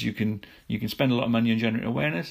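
A man's medium-pitched voice with vocal fry and a British accent. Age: 40s. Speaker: podcast host, lawyer. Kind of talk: solo business news podcast. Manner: halting, many fillers and repetitions.

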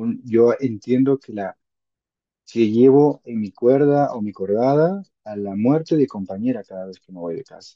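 This man has an unremarkable speaking voice at a medium pitch, with lively intonation. He talks at a fairly slow pace, and his loudness swings widely. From Peru, Huaraz (Andes). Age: 30s. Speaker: mountaineer and mountain guide. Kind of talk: interview testimony.

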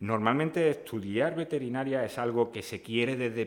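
At a moderate pace, the man talks in an ordinary speaking voice, his pitch varying in an ordinary way. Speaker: podcast host and veterinary lecturer. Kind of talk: casual interview.

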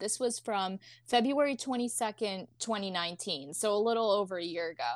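The recording is very clean, with a silent background. A woman with an unremarkable speaking voice at a medium pitch talks at a moderate pace with lively intonation. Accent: American. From Philadelphia. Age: 20s. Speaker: college student. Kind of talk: casual chat.

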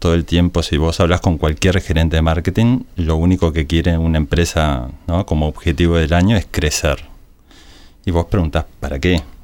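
This man's very deep, low voice holds a very even loudness and fairly even intonation. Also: moderate pace. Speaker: advertising agency director. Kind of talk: casual interview. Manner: halting, with frequent repetitions.

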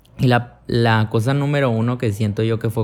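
A man talks in a monotone with flat intonation and a Mexican accent. The recording is very clean and the background silent. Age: 20s. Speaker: podcaster. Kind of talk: casual monologue.

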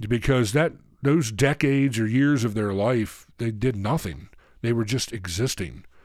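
A man talks at a fairly slow pace with a medium pitch and ordinary pitch variation. He has a plain, everyday voice, on a very clean recording with a silent background. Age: 40s. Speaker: minister and recovery counselor. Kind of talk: recovery teaching talk. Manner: casual, filler-heavy delivery.

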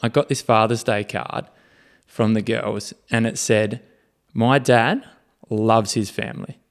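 A man with an Australian accent speaks at a medium pitch in a very clean recording with a silent background. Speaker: podcast co-host, fitness-minded parent. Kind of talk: casual chat.

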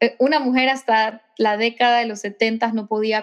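This woman's fairly high voice keeps a monotone, flat intonation throughout. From Ecuador. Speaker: singer-songwriter. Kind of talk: interview.

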